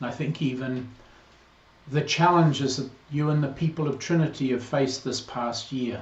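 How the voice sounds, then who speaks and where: Audible room echo surrounds a man's fairly high, somewhat breathy voice. He keeps a moderate pace and fairly even intonation. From New Zealand. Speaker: priest. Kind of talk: video greeting to congregation.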